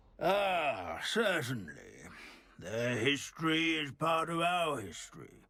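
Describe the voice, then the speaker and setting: The delivery is fairly slow. A put-on character voice carries it. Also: man, fairly high pitch for a man. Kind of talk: academic lecture. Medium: video game. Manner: pedantic, lecturing.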